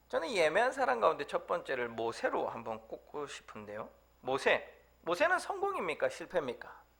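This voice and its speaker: Through noticeable background noise, a man speaks at a moderate pace. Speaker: preacher, church evangelist. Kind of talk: sermon.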